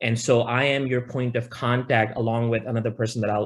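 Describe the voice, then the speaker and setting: This man talks at a fairly quick pace, his medium pitch held in a fairly even intonation. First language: not English. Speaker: professor. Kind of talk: presentation. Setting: video call. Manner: halting.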